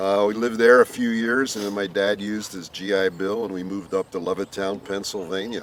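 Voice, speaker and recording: Against noticeable background noise, a man talks at a fairly quick pace with hardly any pauses. His voice is fairly low and his intonation monotone and flat. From Philadelphia, US. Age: 70s. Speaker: host's father. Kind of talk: casual interview. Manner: halting.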